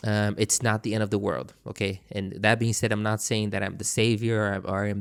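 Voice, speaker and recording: A man with a non-native accent speaks very fast at a fairly low pitch. His intonation is monotone and flat, and the recording is very clean with a silent background. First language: not English. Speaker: trading YouTuber. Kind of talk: casual monologue to camera. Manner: halting, frequent self-repetition; unscripted, conversational.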